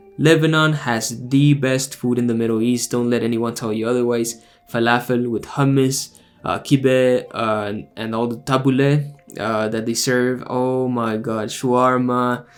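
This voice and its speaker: A man with a mid-range voice talks rather unhurriedly while noticeable background noise plays behind him. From Texas, Mexican American family. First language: Spanish. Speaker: YouTuber, former Jehovah's Witness. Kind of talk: casual Q&A monologue. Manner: animated, frequent fillers.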